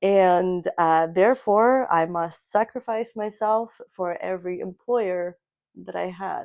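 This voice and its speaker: At a very slow pace, a woman speaks at medium pitch with ordinary pitch variation. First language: Russian. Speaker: podcast co-host. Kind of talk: casual chat.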